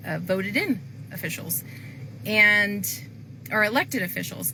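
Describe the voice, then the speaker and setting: A woman at medium pitch, fairly slow, with audible room echo. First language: not English. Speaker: planning and zoning commissioner. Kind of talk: public appeal to viewers. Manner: casual with many fillers.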